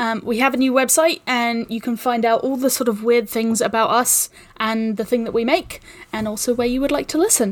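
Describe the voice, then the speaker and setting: This woman has a high-pitched voice and a fairly even intonation. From New Zealand. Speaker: podcast producer. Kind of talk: casual chat.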